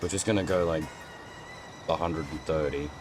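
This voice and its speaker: With noticeable background noise behind him, this man speaks at a moderate pace. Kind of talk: casual gaming livestream talk.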